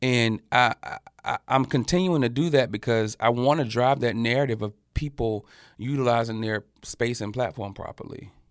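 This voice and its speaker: At a moderate pace, a man with an Alabama accent speaks at medium pitch with ordinary pitch variation, in a very clean recording with a silent background and a dry, close sound with no echo. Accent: Southern US (Alabama). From US South, Birmingham, Alabama. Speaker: fashion creative and brand founder. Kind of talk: interview conversation.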